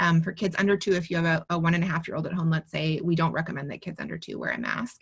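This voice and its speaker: A woman speaks very fast with hardly any pauses, her pitch fairly low. Her voice is somewhat breathy and her intonation fairly even. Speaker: pediatrician. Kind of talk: webinar Q&A.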